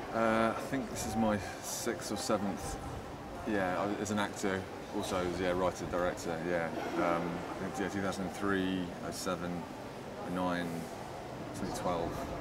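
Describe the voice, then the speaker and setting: Loud background noise surrounds a man speaking at a very slow pace. He leaves long, frequent pauses. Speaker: theatre writer and director. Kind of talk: casual interview chat. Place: cafe. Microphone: lapel.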